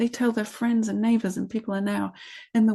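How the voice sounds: Fairly even intonation in a natural reading voice.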